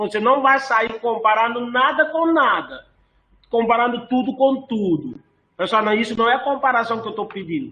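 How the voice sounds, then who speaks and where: Raising and projecting his voice, a man speaks at an extremely high pitch with ordinary pitch variation. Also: moderate pace. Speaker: course instructor. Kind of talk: online lecture.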